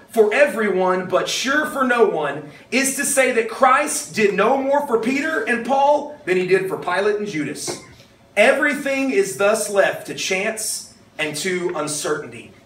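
Audible room echo surrounds a man speaking at a fairly slow pace with very wide pitch swings. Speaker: pastor. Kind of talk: sermon. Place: hall.

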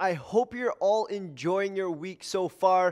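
A high-pitched man at a fairly slow pace against a quiet background. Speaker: fitness trainer. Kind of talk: workout intro to camera. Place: gym. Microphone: headset.

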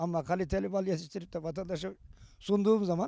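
A man's high-pitched voice with fairly even intonation, dry sound free of echo, and a quiet background. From Turkey. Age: 70s. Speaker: beekeeper. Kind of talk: interview answers. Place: open country. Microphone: handheld.

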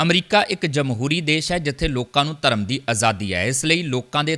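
A man with a fairly high pitch speaks in a bright, sharp tone with lively intonation. The recording is very clean, with a silent background. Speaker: news anchor. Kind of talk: news bulletin reading. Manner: formal, steady, brisk newsreader delivery.

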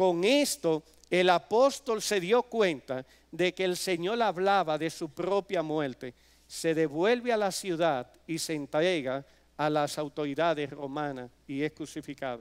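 With lively intonation, a man talks at a fairly slow pace in a quiet background. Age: 50s. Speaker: preacher. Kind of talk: sermon. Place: church. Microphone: podium.

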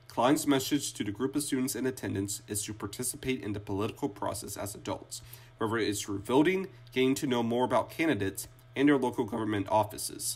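Music plays in the background as a man talks at a very fast pace. His pitch is medium, with ordinary variation. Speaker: student reporter. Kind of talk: news segment narration.

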